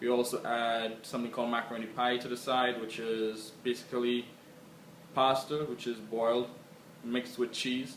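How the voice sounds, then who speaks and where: Against noticeable background noise, a man with a Trinidadian accent speaks at a medium pitch in a monotone, flat intonation. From Trinidad and Tobago. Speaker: interviewee. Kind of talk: casual self-introduction.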